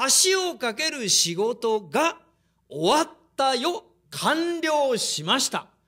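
Over a quiet background, a man speaks in a raised, projected voice with an animated, bright, sharp tone. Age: 50s. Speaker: preacher. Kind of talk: sermon. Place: hall. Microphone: podium.

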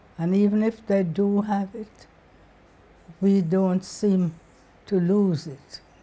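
Somewhat breathy, a woman speaks at a very slow pace with fairly even intonation and long, frequent pauses. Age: 80s+. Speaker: author, librarian, lecturer. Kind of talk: interview answer. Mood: calm, reflective. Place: home room. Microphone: lapel.

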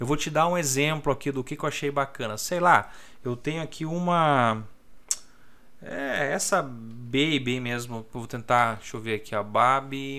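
This man speaks at a fairly slow pace in a bright, sharp tone with ordinary pitch variation. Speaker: crypto trading youtuber. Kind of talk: tutorial. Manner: casual, filler-heavy. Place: home room. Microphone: new desk microphone.

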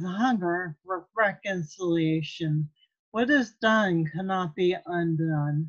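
Against a quiet background, a woman speaks very slowly in a solemn tone with ordinary pitch variation. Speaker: lay minister, author. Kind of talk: poetry reading at a church service. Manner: slow, solemn. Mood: calm, solemn, earnest. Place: home room. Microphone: webcam.

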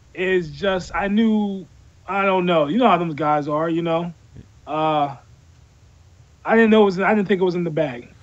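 A man at a high pitch, ordinary pitch variation, moderate pace, and long, frequent pauses. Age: 30s. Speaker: MMA fighter; guest. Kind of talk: interview. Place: home room. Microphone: video call.

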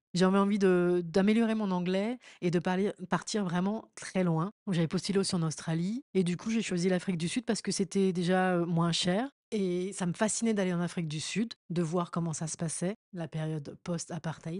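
In a plain, everyday voice of medium pitch, a woman speaks at a moderate pace with fairly even intonation, the sound dry and close with no echo over a quiet background. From France, Paris. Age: 40s. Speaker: DJ and communications manager. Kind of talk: interview storytelling.

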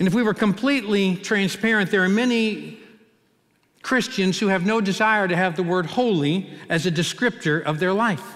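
Against a quiet background, a man with a high voice and an American accent speaks at a moderate pace with ordinary pitch variation and very even loudness. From US Midwest, Cincinnati; Ohio. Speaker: pastor. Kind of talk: sermon. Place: church. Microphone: headset.

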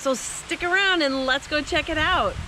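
A woman speaks in a raised, projected voice at a fairly slow pace with ordinary pitch variation. The sound is dry with no echo, over light background noise. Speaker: travel vlogger. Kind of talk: casual vlog chat. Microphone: phone near.

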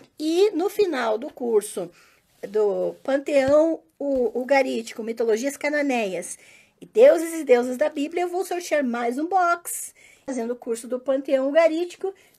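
Against a quiet background, a woman with a high pitch and a dark, mellow tone speaks slowly-ish, at a fairly slow pace, with lively intonation. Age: 40s. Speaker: religious studies teacher; teacher promoting her online courses. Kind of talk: casual monologue to followers; casual vlog chat. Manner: hesitant, many fillers. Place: home room. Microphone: phone near.

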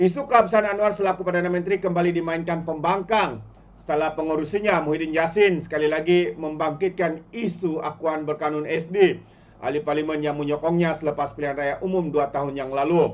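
The speaker has a Malaysian accent and a fairly quick pace. The intonation stays fairly even. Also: man. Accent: Malaysian Malay. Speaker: political commentator. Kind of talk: opinionated news commentary. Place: home room.

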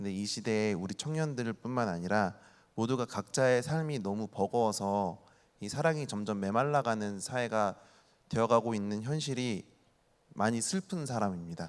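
A man with a normal speaking voice, moderate in pace, with ordinary pitch variation. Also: medium pitch for a man. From Ansan, South Korea. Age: 30s. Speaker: youth volunteer group leader. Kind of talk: talk show panel. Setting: stage with audience.

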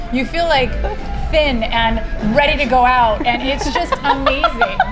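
Loud music plays in the background as a woman speaks at a fairly slow pace. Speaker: guest. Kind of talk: enthusiastic casual chat. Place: bar. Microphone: lapel.

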